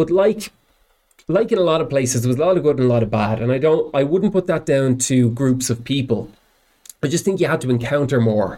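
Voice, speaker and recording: A man speaks in a Dublin accent at a fairly quick pace. His fairly high voice has lively intonation and very even loudness. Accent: Dublin Irish. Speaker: professional musician. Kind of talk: casual chat.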